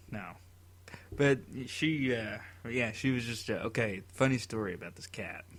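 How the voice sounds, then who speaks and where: A man in a Tennessee accent at a moderate pace, with ordinary pitch variation, long, frequent pauses and big swings in loudness. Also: medium pitch for a man. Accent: Southern US, Tennessee. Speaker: podcast co-host. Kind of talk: casual chat.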